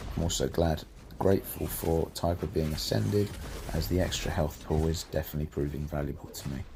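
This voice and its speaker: This man has a British accent. He moves through his words fairly quickly. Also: ordinary pitch variation. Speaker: gaming YouTuber. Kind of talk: gameplay commentary. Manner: casual, self-correcting with false starts.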